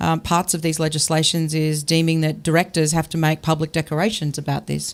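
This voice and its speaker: The speech comes in an Australian accent at a fairly quick pace. Intonation stays flat and monotone. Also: woman, very deep, low pitch for a woman, very even loudness. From Australia (Brisbane, Queensland). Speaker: tech company founder. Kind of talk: panel discussion.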